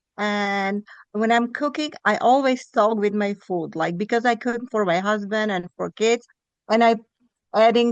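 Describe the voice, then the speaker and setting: A woman with a non-native accent talks at a fairly slow pace, her fairly high voice showing ordinary pitch variation. The sound is dry and close with no echo, over a quiet background. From Europe. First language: not English, European language. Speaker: participant in online group. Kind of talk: casual group chat. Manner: halting.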